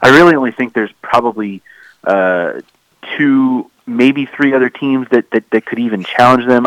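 A man at medium pitch and moderate pace, an unremarkable speaking voice, in a dry, close sound with no echo. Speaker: baseball writer. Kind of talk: casual chat.

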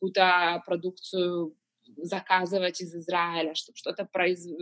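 The speaker is a woman. Her pitch is medium. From Ukraine, Kyiv. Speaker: pastry chef and business owner. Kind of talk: interview.

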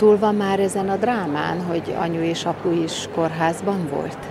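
Speaking at a fairly slow pace with hardly any pauses, a woman of medium pitch and ordinary pitch variation is heard with audible room echo and noticeable background noise. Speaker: radio reporter. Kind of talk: radio interview.

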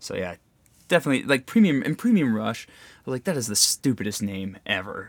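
At a fairly quick pace, a man with medium pitch speaks in very wide pitch swings. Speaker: podcast host. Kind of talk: casual chat. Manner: laid-back, joking.

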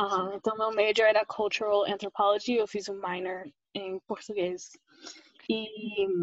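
Monotone and flat, a woman speaks at a fairly slow pace. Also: medium pitch for a woman. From US, Oklahoma. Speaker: anthropologist. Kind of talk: interview.

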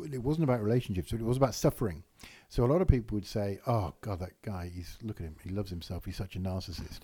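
A man's somewhat breathy voice at a very fast pace, with big swings in loudness, on a very clean recording with a silent background. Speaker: business consultant and comedian. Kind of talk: casual chat.

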